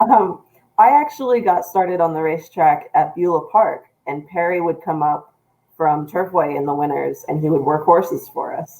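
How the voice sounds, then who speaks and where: At a moderate pace, a woman uses a normal speaking voice, fairly low in pitch, with lively intonation. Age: 30s. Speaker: news editor. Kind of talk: casual chat.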